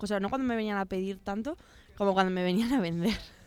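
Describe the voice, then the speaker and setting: With a medium pitch, the woman speaks in a fairly even intonation. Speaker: university radio host. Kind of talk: casual chat. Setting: radio studio. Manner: hesitant, many fillers.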